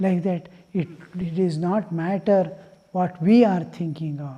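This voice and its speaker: Here a man talks at a fairly slow pace with a high pitch and a dark, mellow tone. His intonation stays fairly even. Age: 70s. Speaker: monk giving spiritual discourse. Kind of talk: religious discourse. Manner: unhurried, with frequent fillers (uh, hmm).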